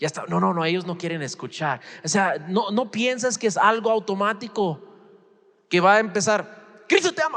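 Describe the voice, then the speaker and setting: A man speaks with a high pitch and an animated tone. His intonation is lively. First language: English (speaking Spanish). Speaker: pastor. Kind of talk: sermon. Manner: halting.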